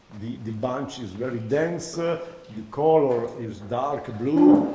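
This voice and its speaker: A man with an Italian accent speaks at a fairly slow pace with ordinary pitch variation. Audible room echo and noticeable background noise surround him. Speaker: oenology professor. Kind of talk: lecture. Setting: masterclass with audience. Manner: halting, many hesitations.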